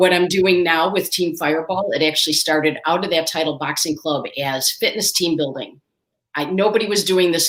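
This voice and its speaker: A woman talks at a moderate pace with fairly even intonation. She has a plain, everyday voice. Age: 60s. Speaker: entrepreneur and fitness coach. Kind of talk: interview.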